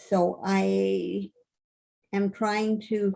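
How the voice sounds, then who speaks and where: A woman speaks with a somewhat breathy voice. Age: 80s+. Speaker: author and poet. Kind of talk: casual talk on video call.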